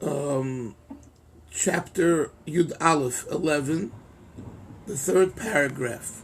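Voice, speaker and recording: Over noticeable background noise, a man speaks very slowly with long, frequent pauses, his fairly high voice showing ordinary pitch variation. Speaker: rabbi teaching Chasidic text. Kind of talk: lecture. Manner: not loud, voice held back.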